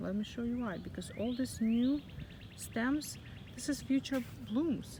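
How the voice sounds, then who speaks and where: A soft-spoken woman with a high pitch talks at a fairly slow pace, using ordinary pitch variation. Noticeable background noise is present. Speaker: gardening vlogger. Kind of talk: casual garden tour vlog. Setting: outdoors in front garden.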